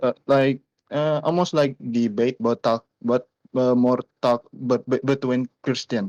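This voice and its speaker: Recorded with a dry, close sound and no echo, a man speaks at a fairly slow pace and medium pitch with fairly even intonation. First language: not English. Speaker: caller. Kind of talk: live call-in question. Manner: halting.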